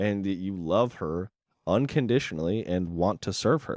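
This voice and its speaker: Over a quiet background, a man with an unremarkable speaking voice talks with lively intonation. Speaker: podcast co-host. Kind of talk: casual chat about faith. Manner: joking, playful.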